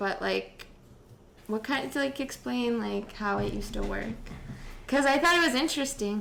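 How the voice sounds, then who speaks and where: A woman with a Chicago accent at a moderate pace, long, frequent pauses, and audible room echo. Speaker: podcast host. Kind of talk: casual chat.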